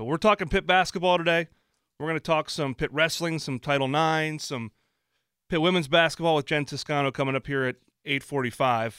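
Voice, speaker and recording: The dry, close recording has no echo and a silent background, with speech at a fairly quick pace and ordinary pitch variation. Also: man. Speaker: radio host. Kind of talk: live sports talk radio show. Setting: studio. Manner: chatty, easygoing, upbeat radio patter.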